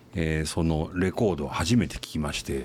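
Fairly slow, very deep and low-pitched male speech. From Tokyo. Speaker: fashion company executive. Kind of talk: interview. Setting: studio.

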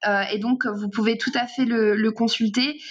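Moderate pace and ordinary pitch variation. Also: woman. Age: 20s. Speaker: communications consultant. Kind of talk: interview. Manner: halting, frequent repetitions.

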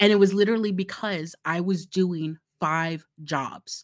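A normal speaking voice with an American accent and ordinary pitch variation, recorded very cleanly against a silent background with a dry, close sound and no echo. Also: woman. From Florida, US South. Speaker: marketing director. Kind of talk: interview.

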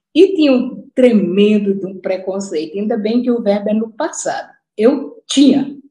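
Somewhat breathy and dark, mellow in tone, the voice moves with lively intonation at a moderate pace, with audible room echo. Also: woman, fairly high pitch for a woman. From Brazil, Natal (Northeast). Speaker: retired education professor. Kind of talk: online lecture. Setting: video call.

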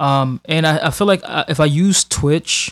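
The recording is very clean, dry and close, with no echo and a silent background, as a man speaks at a fairly high pitch with ordinary pitch variation. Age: 20s. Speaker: podcast host. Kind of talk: casual monologue. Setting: home recording while streaming. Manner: halting, many fillers and repetitions.

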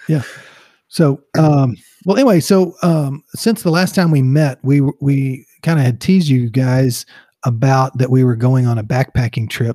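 On a very clean recording with a silent background, a man with a Texas accent keeps very even loudness in a dry, close sound with no echo. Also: medium pitch for a man, ordinary pitch variation. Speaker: podcast co-host. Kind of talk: casual chat, humorous banter. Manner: slow, deliberate.

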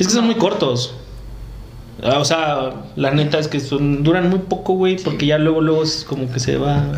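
A man speaks at a moderate pace with a fairly high pitch and ordinary pitch variation. The recording has audible room echo and noticeable background noise. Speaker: podcast host. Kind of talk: casual chat.

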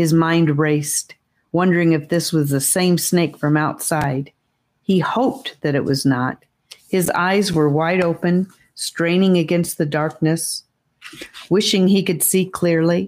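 A woman speaks in a menacing tone at a fairly slow pace, her fairly low voice showing ordinary pitch variation and very even loudness. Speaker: audiobook narrator. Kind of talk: dramatic audiobook narration, hushed tense storytelling of a fantasy adventure. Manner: suspenseful, hushed, slowed pacing with menacing emphasis on the snake's hiss.

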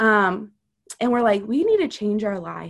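A woman speaks in a plain, everyday voice with an American accent and a fairly high pitch. Her pitch variation is ordinary, and the background is quiet. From US South, Louisiana and Missouri. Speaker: mother sharing her faith testimony. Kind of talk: testimony.

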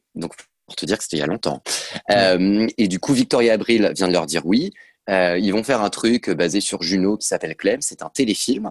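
An ordinary speaking voice from a man, fairly low in pitch with ordinary pitch variation, at a moderate pace against a quiet background, with a dry, close sound and no echo. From western France, near Nantes. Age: 30s. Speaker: actor and author. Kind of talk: casual interview. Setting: video call.

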